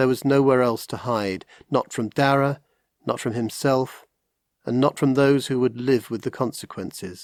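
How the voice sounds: Intonation stays fairly even in a natural reading voice. The background is quiet.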